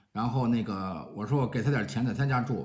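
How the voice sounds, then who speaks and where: A man's fairly quick speech comes through against a quiet background. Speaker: vlogger telling a personal story. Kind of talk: casual vlog chat. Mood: cheerful, self-mocking. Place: home room. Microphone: phone near.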